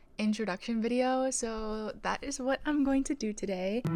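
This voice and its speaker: Against a very clean recording with a silent background, a woman speaks at a moderate pace with ordinary pitch variation in a plain, everyday voice. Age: 20s. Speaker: lifestyle vlogger, stay-at-home mom. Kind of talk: casual vlog monologue.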